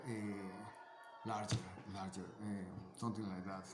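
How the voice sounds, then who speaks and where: A man with a non-native accent speaks at a fairly slow pace, with music in the background and audible room echo. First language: Spanish. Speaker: amateur science video maker. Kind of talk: casual explanatory monologue. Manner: halting, many fillers and repetitions.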